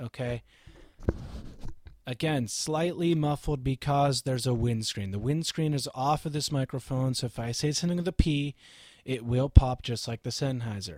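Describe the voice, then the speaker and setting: Recorded very cleanly over a silent background, the sound is dry and close with no echo. A man at a medium pitch speaks at a moderate pace with ordinary pitch variation. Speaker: pastor, bass player and ham radio operator reviewing microphones. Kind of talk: product review monologue. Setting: home recording, testing microphones on camera. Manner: animated.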